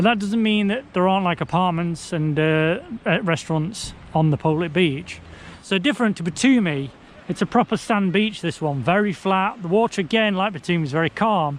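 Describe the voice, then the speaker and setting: A man with an English accent speaks at a fairly quick pace. His voice is high, with ordinary pitch variation. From England. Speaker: travel vlogger. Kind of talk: travel vlog. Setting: outdoors on beach. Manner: casual, conversational.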